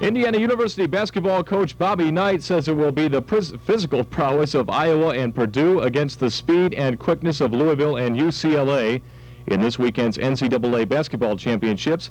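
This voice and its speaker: An unremarkable speaking voice from a man with an American accent, fairly high-pitched, with lively intonation, very even loudness and a fairly quick pace. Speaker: college radio DJ. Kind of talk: student radio show host with news and sports updates.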